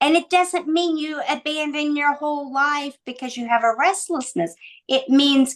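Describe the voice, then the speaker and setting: Her intonation is lively. The woman talks at a fairly slow pace. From Indiana, US Midwest. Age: 60s. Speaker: leadership mentor and author. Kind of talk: interview podcast.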